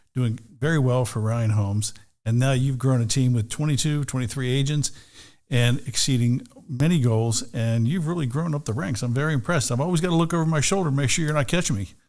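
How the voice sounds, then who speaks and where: With ordinary pitch variation and a fairly quick pace, an unremarkable speaking voice is heard. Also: man, medium pitch for a man. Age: 60s. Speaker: real estate broker and team leader. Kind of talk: podcast interview. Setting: studio.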